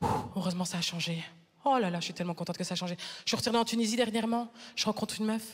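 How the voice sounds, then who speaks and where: In an animated, somewhat breathy tone, a woman speaks at a very fast pace. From Flanders, Belgium. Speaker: stand-up comedian. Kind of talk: stand-up. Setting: stage with audience.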